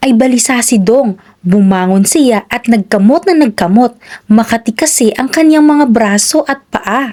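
A woman talks with lively intonation and a dark, mellow tone. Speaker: children's storyteller. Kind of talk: reading aloud.

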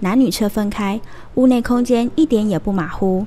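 Speaking at a moderate pace, a woman with a fairly high pitch shows ordinary pitch variation amid noticeable background noise. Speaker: news reporter. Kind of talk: TV news narration.

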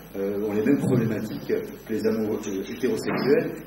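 A man's fairly slow speech comes through audible room echo and noticeable background noise. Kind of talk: moderated author interview before an audience. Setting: bookshop with audience. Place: shop.

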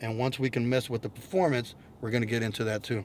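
A man talks at a fairly quick pace over light background noise, the sound dry with no echo. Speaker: automotive vlogger. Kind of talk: casual vlog chat. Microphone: camera far.

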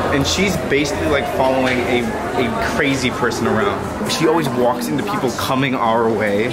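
A man's pace is fairly quick. Behind him, music can be heard. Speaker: travel vlogger. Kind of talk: casual vlog chat. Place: street. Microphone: phone near.

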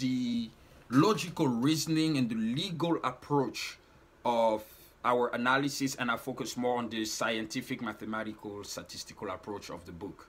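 A man's voice with big swings in loudness. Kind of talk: explanatory talk to camera. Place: home room. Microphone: phone near.

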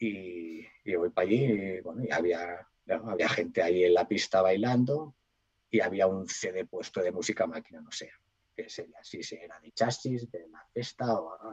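A man talks at a fairly slow pace in a medium pitch with ordinary pitch variation. His loudness swings widely, and the background is quiet. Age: 40s. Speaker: DJ and cook; DJ. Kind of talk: casual interview; interview answer. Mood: nostalgic storytelling.

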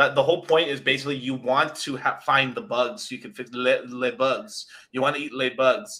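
Against a quiet background, a man with a fairly high pitch and a bright, sharp, animated tone talks at a fairly quick pace with hardly any pauses, ordinary pitch variation and big swings in loudness. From Mexican heritage. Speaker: crypto YouTuber. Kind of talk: casual chat. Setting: video call. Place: home room. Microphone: video call.

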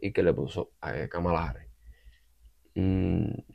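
A man's voice sits at a very deep, low pitch with vocal fry. His tone is dark and mellow. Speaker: political commentary YouTuber. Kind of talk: opinion monologue. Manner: halting, many fillers.

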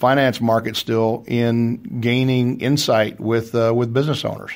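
A man talks at a moderate pace and medium pitch. He has a slight Texas accent. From Texas, small town. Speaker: company CEO. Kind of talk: radio interview. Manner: hesitant, many fillers.

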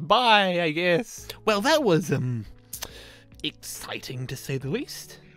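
A put-on character voice moves slowly with big pitch swings and a fairly bright tone. Faint music sits in the background. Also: man, fairly high pitch for a man.

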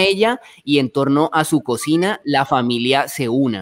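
A man with a Colombian accent and fairly high pitch, at a fairly slow pace with ordinary pitch variation, against a quiet background. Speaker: travel show host. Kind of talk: live panel chat. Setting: live stream video call. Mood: warm, nostalgic. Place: home room. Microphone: studio mic.

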